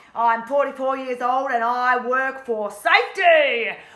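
A woman projects a raised voice with a bright, sharp tone over a quiet background. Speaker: teacher acting a character. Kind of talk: in-character teaching demonstration. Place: classroom. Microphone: phone near.

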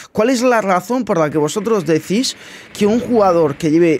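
Against light background noise, a man with a Spanish accent talks at a moderate pace in an animated tone with lively intonation. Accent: Peninsular Spanish. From Spain. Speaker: gaming youtuber. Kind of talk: casual gameplay commentary.

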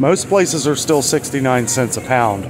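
A man's voice with ordinary pitch variation amid noticeable background noise. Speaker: vlogger. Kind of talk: casual vlog commentary. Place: shop. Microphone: phone near.

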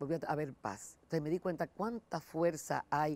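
In a very deep, low pitch, a woman speaks with a dark, mellow tone and ordinary pitch variation. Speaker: lay church volunteer; interview guest. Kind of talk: testimony. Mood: warm, earnest testimony. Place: studio. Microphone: lapel.

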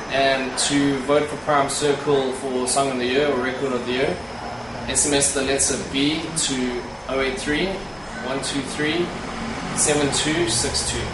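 Loud background noise and audible room echo surround a man's voice. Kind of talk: interview answer. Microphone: camera far.

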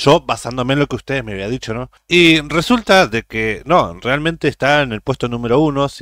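A man speaks at a moderate pace in a Uruguayan accent. The recording is very clean and dry, close with no echo, over a silent background. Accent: Uruguayan Spanish (rioplatense). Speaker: YouTube reaction creator. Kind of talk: casual reaction commentary.

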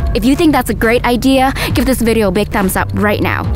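Clear music plays in the background while a woman talks with ordinary pitch variation. The sound is dry with no echo. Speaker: vlogger. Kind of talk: casual vlog chat. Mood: secretive, excited. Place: open country. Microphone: phone near.

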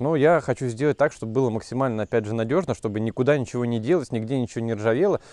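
His tone is dark and mellow. The man talks at a very fast pace. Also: dry sound with no echo. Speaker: rural video blogger, beekeeper; rural video blogger. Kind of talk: casual vlog narration.

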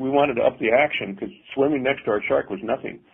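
A man with a normal speaking voice, a fairly quick pace, and lively intonation. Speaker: custom car builder. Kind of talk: casual interview. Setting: remote call.

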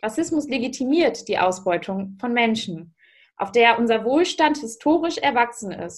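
A woman speaks at a fairly slow pace with a fairly high pitch. Her pitch swings very widely over a quiet background. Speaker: youth politician. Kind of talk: panel discussion. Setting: video call. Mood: serious, earnest. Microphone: video call.

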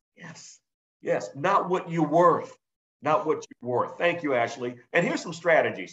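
Against a quiet background, a man with an American accent speaks with lively intonation. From South Carolina, North Charleston; South Carolina. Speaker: business instructor. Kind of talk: webinar presentation. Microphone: video call.

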